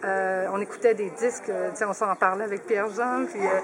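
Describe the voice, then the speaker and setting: Over noticeable background noise, a woman at medium pitch talks at a moderate pace with fairly even intonation. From Quebec, Saguenay. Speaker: family member of a guest of honour. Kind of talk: radio interview.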